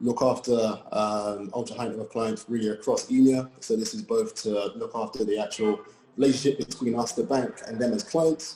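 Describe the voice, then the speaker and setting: With hardly any pauses, a man in a London accent speaks at a moderate pace. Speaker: private wealth advisor, panelist. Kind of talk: panel discussion.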